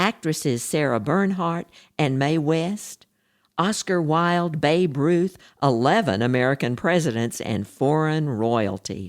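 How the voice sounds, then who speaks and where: A woman with a Texan accent, very deep and low in pitch, her pitch swinging very widely at a fairly slow pace, with very even loudness in a very clean recording against a silent background. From Texas. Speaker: podcast host and author. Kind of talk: history podcast narration. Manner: lively.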